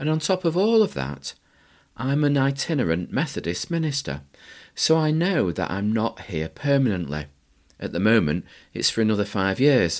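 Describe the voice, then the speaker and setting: Speaking at a moderate pace with a northern English accent, a man with a medium-pitched voice makes very wide pitch swings in a very clean recording with a silent background. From northern England. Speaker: Methodist minister, podcast host. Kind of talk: reflective monologue.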